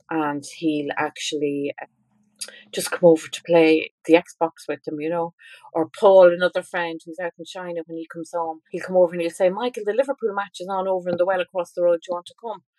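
At a fairly quick pace, a woman with a fairly low pitch and a dark, mellow tone speaks with fairly even intonation. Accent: Irish. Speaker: author and parent. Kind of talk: interview.

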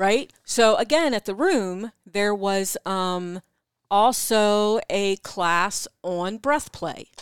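Very slowly, a woman with a medium pitch talks with a slight East Coast American accent and ordinary pitch variation. The recording is very clean with a silent background, and the sound is dry and close with no echo. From US East Coast. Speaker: podcast co-host, sex educator. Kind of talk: casual chat. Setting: live stream.

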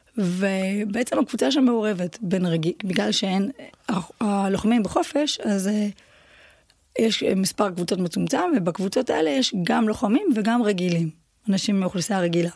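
At a moderate pace, a woman with an unremarkable speaking voice talks at medium pitch, with ordinary pitch variation and very even loudness. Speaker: Thai boxing champion and coach. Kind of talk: casual interview.

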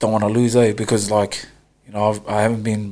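Monotone, flat intonation with a New Zealand accent. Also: man. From New Zealand, West Auckland. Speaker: rugby player. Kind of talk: casual interview.

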